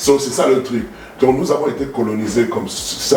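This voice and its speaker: Over music in the background and with audible room echo, a man with a Cameroonian accent speaks at a moderate pace in a fairly high pitch. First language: Bassa (speaking French). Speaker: talk show guest. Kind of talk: heated debate. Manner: halting.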